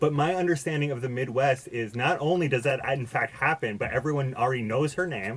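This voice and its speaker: In an American accent, the speaker goes at a fairly quick pace with hardly any pauses, ordinary pitch variation and a somewhat breathy sound. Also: man, medium pitch for a man. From US, Boston. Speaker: podcast guest. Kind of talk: casual chat. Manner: halting, many fillers and restarts.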